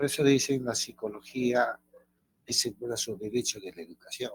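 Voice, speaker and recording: Somewhat breathy, a man talks at a medium pitch and a fairly slow pace with fairly even intonation. The sound is dry and close, with no echo. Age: 70s. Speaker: teacher. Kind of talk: lecture. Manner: halting.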